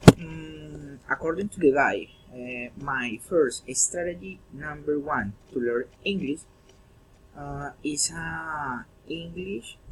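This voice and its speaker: Pitched fairly high, a man speaks at a very slow pace with ordinary pitch variation. His loudness swings widely. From Colombia, Girardot. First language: Spanish. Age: 30s. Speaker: English language student. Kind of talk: class presentation. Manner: halting.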